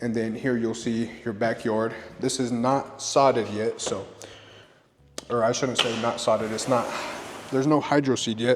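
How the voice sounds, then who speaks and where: Noticeable background noise accompanies a man speaking at a medium pitch with long, frequent pauses. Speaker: real estate agent. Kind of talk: home tour walkthrough. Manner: fast; casual, upbeat.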